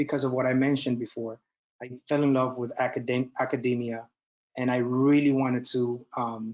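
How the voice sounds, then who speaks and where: A man with a Spanish accent speaks at a moderate pace in a monotone, flat intonation. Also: medium pitch for a man. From Dominican Republic. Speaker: nurse educator and military officer. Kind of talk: lecture. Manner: halting.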